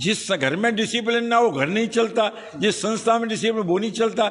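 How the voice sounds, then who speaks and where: A high-pitched man at a moderate pace, over noticeable background noise. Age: 70s. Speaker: college head. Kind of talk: interview.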